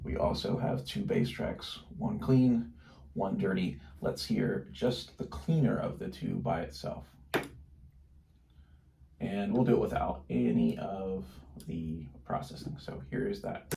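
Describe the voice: A man speaks slowly at a low pitch, with a dark, mellow tone, vocal fry and ordinary pitch variation. Audible room echo surrounds the recording.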